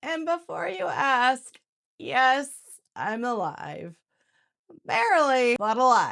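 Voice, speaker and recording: A woman with a high voice speaks at a very slow pace with long, frequent pauses. Her pitch swings very widely. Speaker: crafting tutorial creator. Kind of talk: casual talk to camera. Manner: humorous, upbeat.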